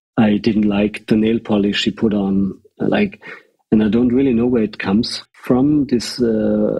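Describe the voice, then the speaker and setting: A man with a fairly low pitch speaks fairly slowly, his intonation fairly even. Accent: German. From Austria. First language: German. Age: 30s. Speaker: fashion creative director. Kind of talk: casual interview conversation. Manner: halting, many restarts and fillers.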